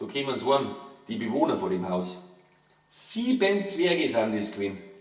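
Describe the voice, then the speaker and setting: Here a man talks with a Bavarian accent at a fairly slow pace. Noticeable background noise runs under his voice. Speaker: author reading own book. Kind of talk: humorous verse fairy tale reading.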